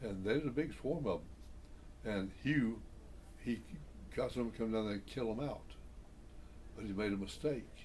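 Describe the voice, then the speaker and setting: A man with an American accent speaks at a medium pitch with vocal fry, ordinary pitch variation, and long, frequent pauses. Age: 80s+. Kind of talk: interview answer. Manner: casual, reminiscing.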